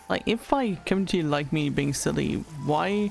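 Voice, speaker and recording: With music in the background, the speech moves at a moderate pace. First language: French. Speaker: VTuber streamer. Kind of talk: casual livestream chat. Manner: halting, many fillers.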